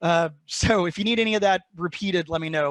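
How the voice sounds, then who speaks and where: A very fast, high-pitched male voice with ordinary pitch variation and a dry, close sound with no echo. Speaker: industry analyst. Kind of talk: webinar presentation. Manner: many fillers and repetitions.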